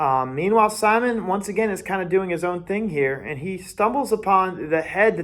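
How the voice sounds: The clip features a natural reading voice.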